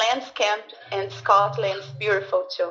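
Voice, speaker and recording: A woman with a Brazilian accent at a very slow pace, lively intonation, medium pitch, and noticeable background noise. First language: Portuguese. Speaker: schoolteacher, English learner. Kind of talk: language class conversation. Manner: halting.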